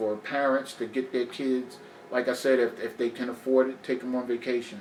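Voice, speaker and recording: A man with a mid-range pitch talks at a moderate rate over noticeable background noise. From New Jersey, Newark. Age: 60s. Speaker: guest sharing life story. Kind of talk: casual interview conversation.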